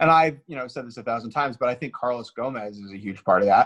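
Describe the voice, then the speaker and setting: At a fairly quick pace, a man speaks in a medium pitch with ordinary pitch variation, the sound dry and close with no echo. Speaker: baseball podcaster. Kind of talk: casual banter with a playful radio-DJ impression. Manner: jokey, animated, riffing.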